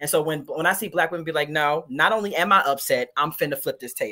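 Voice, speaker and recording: A woman talking at a very fast pace. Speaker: guest co-host. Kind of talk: casual chat. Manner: animated.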